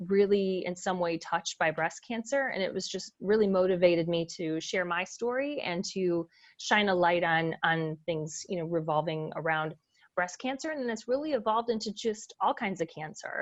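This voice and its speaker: A woman speaks in a normal speaking voice at a medium pitch. Her intonation is lively and her pace moderate. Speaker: podcast host, breast cancer survivor. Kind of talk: casual interview chat.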